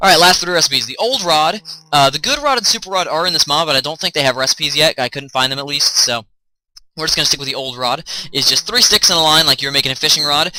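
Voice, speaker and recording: Talking at a very fast pace, a man has a bright, sharp tone and ordinary pitch variation. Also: fairly high pitch for a man. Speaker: gaming YouTuber. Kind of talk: game mod tutorial.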